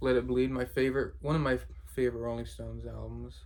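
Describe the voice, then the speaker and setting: A man at a moderate pace. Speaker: record collector video creator. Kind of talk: casual show-and-tell.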